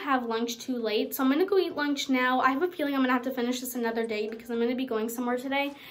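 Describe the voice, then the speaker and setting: This woman speaks at a very fast pace. Her pitch is high. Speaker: cleaning vlogger. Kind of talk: casual vlog chat. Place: bathroom. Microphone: phone near.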